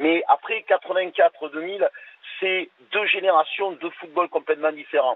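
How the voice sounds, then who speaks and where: Moderate pace and ordinary pitch variation from a man with a high pitch. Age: 60s. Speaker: caller. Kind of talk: radio call-in discussion. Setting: phone call. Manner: hesitant, many fillers.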